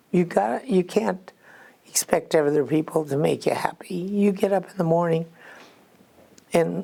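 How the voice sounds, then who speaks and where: A woman talks at a fairly slow pace with a Midwestern American accent. Her pitch is fairly low, and her intonation is lively. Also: very even loudness. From Iowa, US Midwest. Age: 80s+. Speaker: retired cook. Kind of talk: interview answer.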